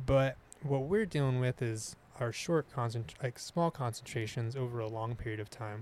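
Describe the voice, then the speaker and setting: A man talks in an ordinary speaking voice. His pitch is medium with ordinary pitch variation. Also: moderate pace. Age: 30s. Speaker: musician and outdoorsman. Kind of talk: casual chat.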